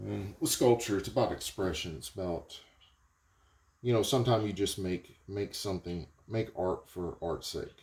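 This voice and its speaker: A man with a Southern US accent talks at a moderate pace. His fairly low voice is somewhat breathy. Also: ordinary pitch variation. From US South. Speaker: potter. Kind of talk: casual vlog talk while working. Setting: pottery studio. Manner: halting, with fillers.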